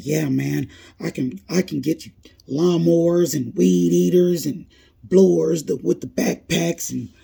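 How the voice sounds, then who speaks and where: A man puts on a character voice pitched fairly high. He speaks fairly slowly, with very wide pitch swings. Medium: solo performance. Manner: twitchy, halting, filler-laden.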